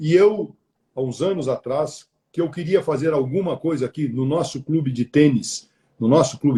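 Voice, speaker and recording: A somewhat breathy man's voice, fairly high-pitched, dark and mellow in tone, with ordinary pitch variation. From southern Brazil, Porto Alegre. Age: 60s. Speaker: retired media executive. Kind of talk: interview on a live stream. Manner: halting, many repeated words.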